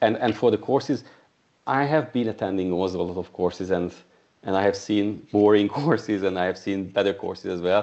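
A man with a non-native accent talks at a fairly quick pace in a fairly low pitch, with ordinary pitch variation. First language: not English. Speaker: software testing coach and trainer. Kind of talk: casual chat. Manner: halting.

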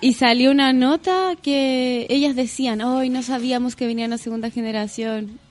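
Over noticeable background noise, a woman with a high pitch speaks at a moderate pace with fairly even intonation and hardly any pauses. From Chile. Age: 30s. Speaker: singer and yoga teacher. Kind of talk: casual chat.

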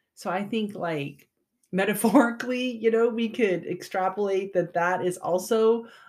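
Moderate pace from a woman with an ordinary speaking voice, medium pitch and ordinary pitch variation. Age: 50s. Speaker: podcast host. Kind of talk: solo podcast monologue. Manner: casual, with frequent laughs and fillers.

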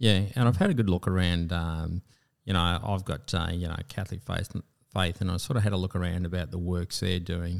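A man with an Australian accent and a very deep, low pitch talks at a fairly quick pace with fairly even intonation, in a very clean recording with a silent background. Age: 50s. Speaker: military veteran and pilot. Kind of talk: interview. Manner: halting.

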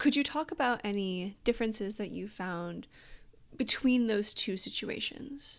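A woman's fairly high voice moves at a fairly slow pace with lively intonation. It is a plain, everyday voice in a very clean recording with a silent background. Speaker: podcast host. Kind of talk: interview.

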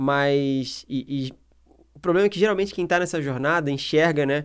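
A man's unremarkable speaking voice, fairly high in pitch, with ordinary pitch variation, in a very clean recording with a silent background. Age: 30s. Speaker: podcast host. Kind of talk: casual chat.

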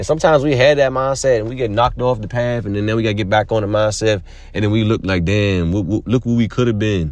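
Very fast, animated delivery with ordinary pitch variation. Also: man. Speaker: motivational podcaster. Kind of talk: pep talk. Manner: animated, urgent, motivational hype; direct and repetitive, pushes each point with 'see yourself'.

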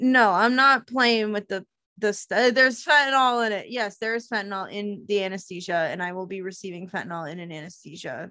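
A woman's bright, sharp, medium-pitched voice at a fairly quick pace, with hardly any pauses and big swings in loudness. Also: ordinary pitch variation. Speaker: podcast host. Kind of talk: casual chat.

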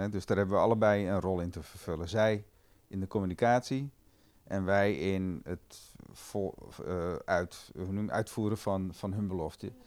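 Recorded very cleanly against a silent background, a man with a plain, everyday voice and fairly low pitch speaks at a moderate pace. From Amstelveen, Netherlands. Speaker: dairy cooperative director. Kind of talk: casual interview.

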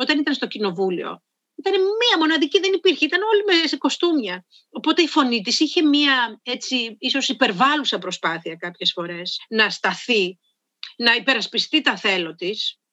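A woman speaks in a raised, projected voice with high pitch. Her pitch swings very widely at a moderate pace. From Greece, Karditsa. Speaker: voice and public speaking coach, soprano. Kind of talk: interview.

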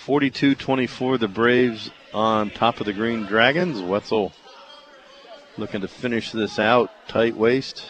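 Through noticeable background noise, a man speaks at a very slow pace with fairly even intonation. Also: medium pitch for a man. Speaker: radio play-by-play announcer. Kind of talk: live sports commentary, play-by-play of wrestling matches. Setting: radio broadcast from mat side of a wrestling meet.

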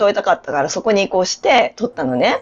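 Her pitch sits in the medium range for a woman but swings very widely as she speaks. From Japan, Hokkaido. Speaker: yoga instructor and life coach. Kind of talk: casual interview. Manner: clear, announcer-like delivery.

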